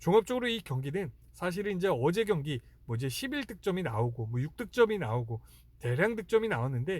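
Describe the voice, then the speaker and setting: A man with a high pitch talks fairly quickly, his pitch swinging very widely. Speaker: sports betting analyst. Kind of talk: sports analysis monologue. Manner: halting, many fillers; slurred pronunciation.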